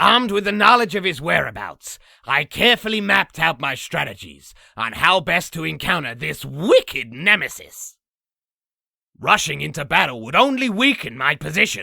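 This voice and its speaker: At a moderate pace and middle pitch, a cartoonish character voice takes on a theatrical tone in a very clean recording with a silent background. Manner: boastful, theatrical.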